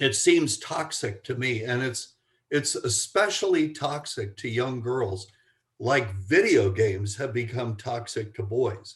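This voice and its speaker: A man speaks at a medium pitch with lively intonation. His voice is somewhat breathy and his pace fairly slow. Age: 70s. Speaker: family psychologist and author. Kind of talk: podcast interview. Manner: halting, with frequent repetitions.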